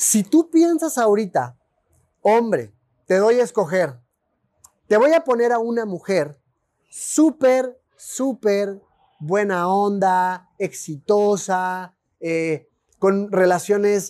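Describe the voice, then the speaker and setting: A man with a high pitch and a dark, mellow tone speaks at a very slow pace. His intonation is lively, and the recording is very clean with a silent background. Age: 40s. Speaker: podcast host and life coach. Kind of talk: solo podcast monologue.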